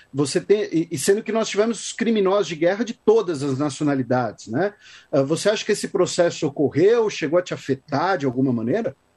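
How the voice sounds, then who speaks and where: Over a quiet background, a man with a high pitch talks at a fairly quick pace with lively intonation. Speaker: podcast host, historian. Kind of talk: interview. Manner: halting.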